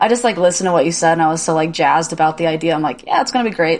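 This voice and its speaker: A woman with an American accent speaks at a fairly low pitch. Her intonation is lively. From Indiana. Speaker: podcast co-host. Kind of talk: casual chat.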